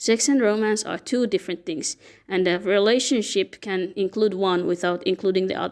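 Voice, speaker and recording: A woman with a non-native accent speaks with fairly even intonation. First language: not English. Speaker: fan fiction commentator. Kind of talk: explainer monologue. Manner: halting.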